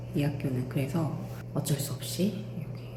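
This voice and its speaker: Noticeable background noise behind a woman's fairly slow delivery. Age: 40s. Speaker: freelance instructor. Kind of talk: casual vlog talk to camera.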